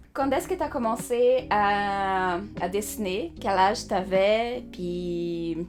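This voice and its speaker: In a non-native accent, a woman at medium pitch speaks at a very slow pace with ordinary pitch variation, and audible room echo can be heard. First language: Portuguese (speaking French). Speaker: animation artist and channel host. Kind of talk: casual interview chat. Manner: halting, hesitant.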